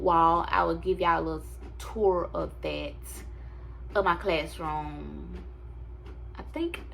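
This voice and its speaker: A woman's very slow speech with long, frequent pauses and audible room echo. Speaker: vlogger and teacher. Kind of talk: casual storytime vlog.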